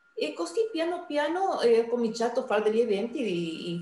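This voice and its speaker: A woman talks at a moderate pace with very wide pitch swings. Audible room echo and noticeable background noise are present. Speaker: community event organizer. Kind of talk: interview.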